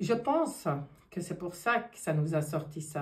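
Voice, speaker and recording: Her voice is fairly low for a woman and somewhat breathy, with lively intonation. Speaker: tarot card reader. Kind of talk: card reading monologue. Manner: animated.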